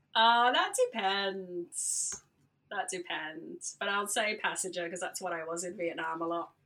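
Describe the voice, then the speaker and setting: At a fairly slow pace, a woman of medium pitch speaks with a bright, sharp tone and ordinary pitch variation. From Australia. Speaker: DJ and radio founder. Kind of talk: casual interview.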